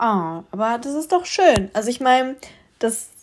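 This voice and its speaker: A woman speaks in a fairly high voice with a dark, mellow tone. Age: 20s. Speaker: podcast host. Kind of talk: casual solo podcast monologue.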